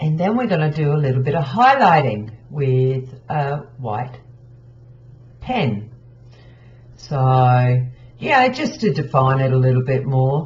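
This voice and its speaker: Audible room echo surrounds a somewhat breathy voice with ordinary pitch variation. The pace is very slow, broken by long, frequent pauses. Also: woman, very deep, low pitch for a woman. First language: not English. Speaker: craft tutorial creator. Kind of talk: tutorial. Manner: casual, with many fillers. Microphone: poor quality audio.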